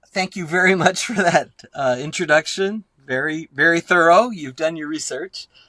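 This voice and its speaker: A man with an American accent and a high pitch, at a moderate pace with big swings in loudness, in a dry, close sound with no echo. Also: ordinary pitch variation. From Texas, Laredo (US-Mexico border). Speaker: artist and professor. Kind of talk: interview conversation. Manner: hesitant, many fillers.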